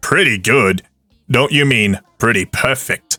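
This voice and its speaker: Music plays in the background as a man does a put-on character voice. His voice is raspy and medium in pitch, and his pace is fairly slow. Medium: audio drama. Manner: demanding, snappy.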